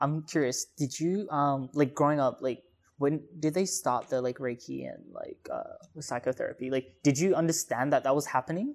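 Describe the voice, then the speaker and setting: With an Australian accent, the speaker keeps a moderate pace. There are hardly any pauses. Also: very clean recording, silent background. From Perth, Australia (early years Singapore). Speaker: podcast host. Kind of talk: podcast intro monologue; casual interview chat.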